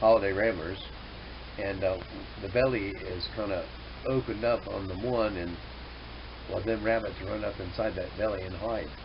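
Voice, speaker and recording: A man with a fairly low pitch and fairly even intonation pauses long and often, with audible room echo and noticeable background noise. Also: moderate pace. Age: 60s. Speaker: hobby farmer and vlogger. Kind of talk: casual monologue to camera. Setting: indoors at home. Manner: halting, many fillers.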